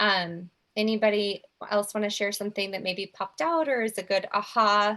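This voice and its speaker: On a very clean recording with a silent background, a woman speaks at a medium pitch with a bright, sharp tone and ordinary pitch variation. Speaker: speech therapist. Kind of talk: informational presentation with group discussion. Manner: fast.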